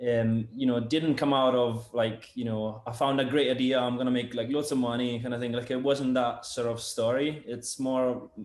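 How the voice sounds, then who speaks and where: A man's flat, monotone intonation comes through noticeable background noise. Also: medium pitch for a man, moderate pace, hardly any pauses. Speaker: sound engineer and product developer. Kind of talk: casual interview chat. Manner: halting, many fillers and repetitions.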